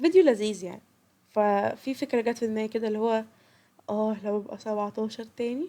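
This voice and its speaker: Fairly quick and fairly high, a woman's voice carries a dark, mellow tone and ordinary pitch variation. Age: 20s. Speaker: podcast host. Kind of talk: casual podcast talk.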